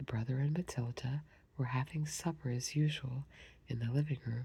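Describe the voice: This is plain reading aloud. Nothing else is marked.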